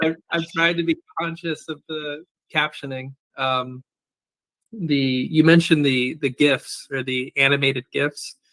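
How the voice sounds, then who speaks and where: A man's fairly high voice in a Californian accent, fairly even in intonation, at a fairly slow pace with long, frequent pauses. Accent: General American (Californian). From US West Coast, San Francisco Bay Area. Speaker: archive and data services director. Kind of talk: interview. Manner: deliberately slow; hesitant, many fillers.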